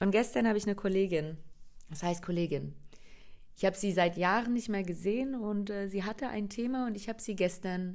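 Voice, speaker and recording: A woman with a slight Berlin accent, animated in tone, at medium pitch and a moderate pace, with ordinary pitch variation and long, frequent pauses. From Germany, Hungarian family. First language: Hungarian (speaking German). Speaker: podcast host, coach. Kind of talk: solo podcast monologue.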